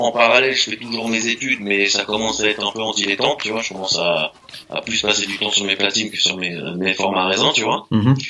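A man talks at a very fast pace in a fairly low pitch with fairly even intonation. Noticeable background noise is present. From France, Meaux (Seine-et-Marne, east of Paris). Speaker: DJ and graffiti artist. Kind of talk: casual interview chat.

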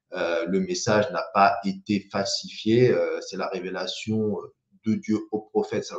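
A man is speaking. His pace is very slow. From French Riviera, Saint-Laurent-du-Var. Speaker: YouTuber and small business owner. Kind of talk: live stream monologue. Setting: live video stream. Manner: hesitant, many repetitions and fillers.

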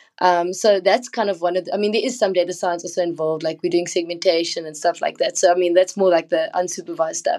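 A woman in a dark, mellow tone races along at a very fast pace with hardly any pauses. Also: fairly low pitch for a woman, fairly even intonation. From South Africa. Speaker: machine learning engineer. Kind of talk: casual chat.

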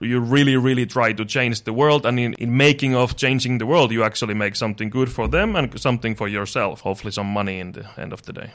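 A man at a very fast pace in a Finnish accent, with hardly any pauses, on a very clean recording with a silent background. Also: medium pitch for a man, ordinary pitch variation, big swings in loudness. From Finland. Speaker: startup co-founder. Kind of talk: interview.

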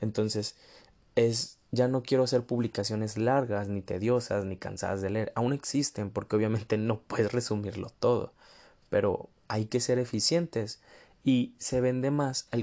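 On a very clean recording with a silent background, a man with a dark, mellow tone speaks at a medium pitch and fairly slow pace with fairly even intonation. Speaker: podcast host. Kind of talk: casual monologue.

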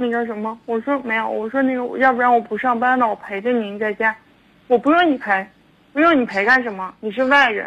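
A woman talks at a fairly quick pace and fairly high pitch, with ordinary pitch variation, in an unremarkable speaking voice. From Harbin, northeast China. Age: 20s. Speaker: caller. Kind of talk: phone-in advice call. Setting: phone call. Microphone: too quiet, far from phone.

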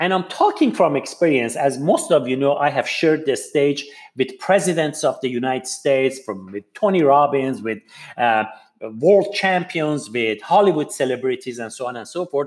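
A man speaks at a moderate pace in a fairly high voice. His intonation is lively. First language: not English. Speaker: podcast host and public speaker. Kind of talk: motivational talk / monologue.

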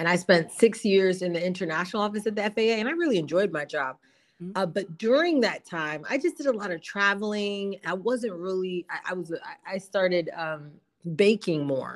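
A normal speaking voice from a woman, medium in pitch, with an American accent, lively intonation and a moderate pace, on a very clean recording with a silent background. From South Jersey, US. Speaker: entrepreneur, gelato business owner. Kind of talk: interview.

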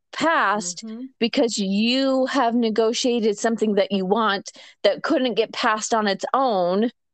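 Against a quiet background, a woman with an unremarkable speaking voice talks at a fairly slow pace. Her pitch is fairly high, with ordinary pitch variation. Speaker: podcast host. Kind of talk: casual chat.

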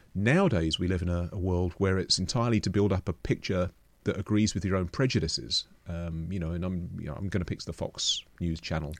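In a London accent, a man talks at a fairly quick pace with hardly any pauses, a very deep, low pitch and ordinary pitch variation against a quiet background. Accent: southern English (London). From London, England. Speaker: astronomer and museum director. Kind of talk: interview conversation.

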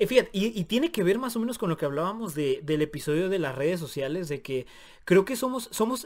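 This man's voice sits high and swings through very wide pitch changes at a fairly quick pace. The recording is very clean, with a silent background. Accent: Mexican. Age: 20s. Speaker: podcast co-host. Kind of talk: casual chat.

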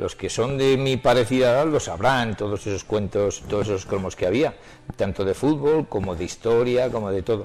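Medium-pitched male speech at a moderate pace, normal pitch movement, and noticeable noise behind it. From Spain, Soria. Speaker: collector and retired teacher. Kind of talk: interview.

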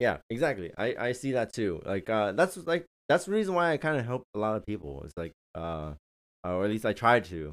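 With an American accent, a man talks at a fairly quick pace and a medium pitch, his pitch swinging very widely, in a very clean recording with a silent background. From San Francisco, US. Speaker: engineer and military veteran. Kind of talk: casual chat. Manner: hesitant, many fillers.

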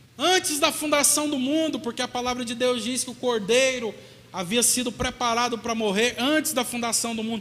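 With noticeable background noise around him, a man projects a raised voice at an extremely high pitch. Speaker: pastor. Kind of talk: sermon.

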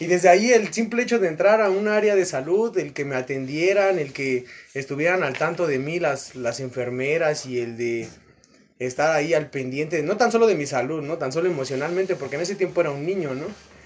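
A man with a Mexican accent talks at a fairly quick pace in a fairly high pitch, his intonation lively. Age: 20s. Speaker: boxing coach and nurse. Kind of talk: casual chat.

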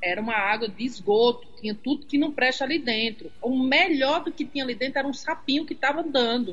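A woman speaks at a fairly quick pace, barely pausing, over noticeable background noise. Her pitch is high, with ordinary variation. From Rio Grande do Norte, Seridó region. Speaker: journalist. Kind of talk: casual interview.

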